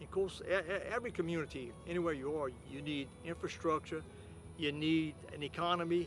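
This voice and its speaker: A man talks at a fairly quick pace with fairly even intonation and fairly high pitch. Music plays in the background. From South Louisiana (Cut Off, Lafourche Parish). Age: 70s. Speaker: levee district official. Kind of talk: documentary interview. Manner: halting, frequent repetitions.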